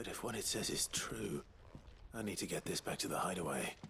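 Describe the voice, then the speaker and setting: A man puts on a character voice with a fairly low pitch. He talks at a fairly quick pace over clear background noise. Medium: video game. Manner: terse, dry.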